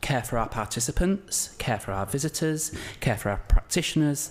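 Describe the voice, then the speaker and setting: A man speaks with a strong northern English accent at a medium pitch. His voice is somewhat breathy and his pace moderate. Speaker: curator and lecturer. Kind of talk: conference presentation. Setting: conference talk with audience. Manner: hesitant, many fillers.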